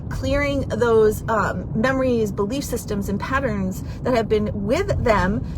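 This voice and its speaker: Animated in tone, a woman speaks at a fairly slow pace amid noticeable background noise and audible room echo. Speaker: divorce coach. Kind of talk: live video chat.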